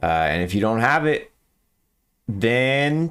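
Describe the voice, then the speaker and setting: The pitch swings very widely. The speaker is a man. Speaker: video game streamer. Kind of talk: live gameplay stream chat. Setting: live stream.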